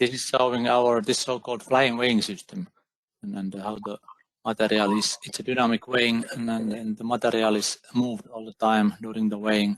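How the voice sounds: In a dry, close sound with no echo, a man talks fairly quickly at a fairly low pitch with little pitch movement.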